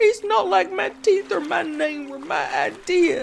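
A female-sounding, put-on character voice, extremely high in pitch and tearful in tone, moves at a fairly slow pace. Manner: indignant, tearful.

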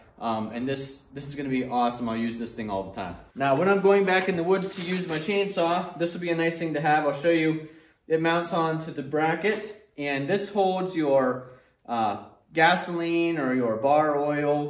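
Over light background noise, a man speaks with audible room echo. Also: lively intonation, moderate pace. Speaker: tractor owner showing accessories. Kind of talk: product demo talk. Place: garage. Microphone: camera far.

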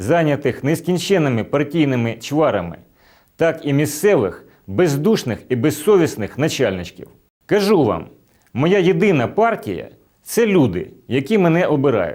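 A man speaks at a fairly slow pace in a fairly high pitch, with very wide pitch swings and vocal fry. His loudness stays very even. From Ukraine, Chernihiv. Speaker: election candidate. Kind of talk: campaign address.

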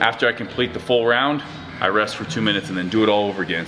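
Talking at a very fast pace with ordinary pitch variation, a man is heard over noticeable background noise. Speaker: gym owner vlogger. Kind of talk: casual vlog chat. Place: gym. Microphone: camera far.

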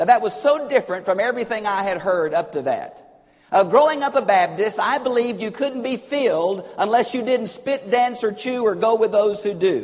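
A man speaks with a Southern US accent at a moderate pace. His pitch is extremely high and his intonation lively. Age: old. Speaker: preacher. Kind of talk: sermon. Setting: church. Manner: animated. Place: church. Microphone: lapel.

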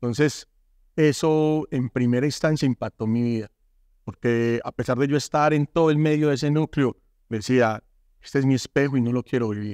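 With fairly even intonation, this man talks at a moderate pace against a quiet background. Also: dry sound with no echo. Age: 40s. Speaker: former gang member turned artist and speaker; speaker. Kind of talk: testimony. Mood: earnest, emotional life story. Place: studio. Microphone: lapel.

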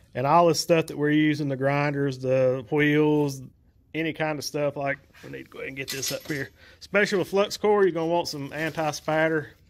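With a Southern US accent, a man speaks at a fairly quick pace and a fairly high pitch. His intonation stays fairly even while his loudness swings widely. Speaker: welding YouTuber. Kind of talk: tutorial. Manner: casual, folksy.

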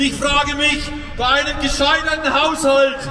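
A man projects his raised voice at an extremely high pitch in a flat monotone, with audible room echo and light background noise. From Germany. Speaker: farmer activist; speaker. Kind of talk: rally speech. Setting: outdoor rally stage. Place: street. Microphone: pa.

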